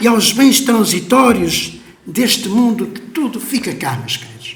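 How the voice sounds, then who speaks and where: A man talks at a high pitch amid audible room echo and noticeable background noise. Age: 70s. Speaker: pastor. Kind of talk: sermon. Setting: church. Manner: emotional, impassioned.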